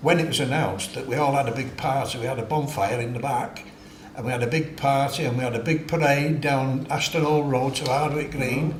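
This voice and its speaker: Audible room echo and noticeable background noise surround a man with a Mancunian accent and a fairly high pitch. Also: fairly even intonation. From Manchester, northern England. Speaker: war-era witness. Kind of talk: oral history interview. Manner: halting.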